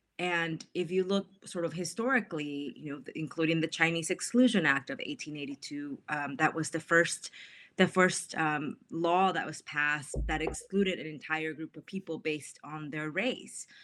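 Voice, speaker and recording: With a Spanish accent, a woman talks at a moderate pace with hardly any pauses, her fairly low pitch showing ordinary variation while her loudness swings widely. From Mexico. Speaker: author. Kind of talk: interview about her book.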